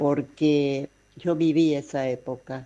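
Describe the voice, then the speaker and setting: A dark, mellow tone carries fairly even intonation. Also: woman. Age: 70s. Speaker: caller. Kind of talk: recorded listener message. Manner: formal.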